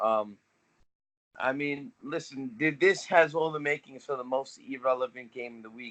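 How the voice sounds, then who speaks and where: A man speaks at a moderate pace with a bright, sharp tone and ordinary pitch variation. His loudness swings widely. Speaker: fantasy football podcast co-host. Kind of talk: casual chat.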